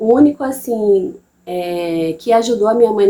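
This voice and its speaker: With a Bahian accent, a woman speaks at a medium pitch with ordinary pitch variation. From interior of Bahia, Brazil. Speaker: mother and channel host. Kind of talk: personal testimony. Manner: casual, halting with repetitions.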